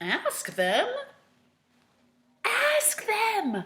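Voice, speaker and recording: A woman uses a put-on character voice. It sits at a high pitch. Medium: read story. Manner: worried, fretful.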